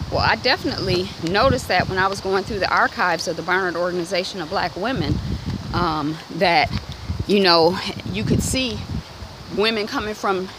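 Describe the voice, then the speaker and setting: A woman at a fairly quick pace with ordinary pitch variation, dry sound with no echo, and noticeable background noise. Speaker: vlogger. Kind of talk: casual walk-and-talk conversation. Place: street. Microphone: phone near.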